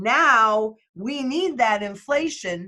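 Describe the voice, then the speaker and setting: A woman speaks with lively intonation in a bright, sharp tone. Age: 60s. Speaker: market strategist. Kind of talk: interview.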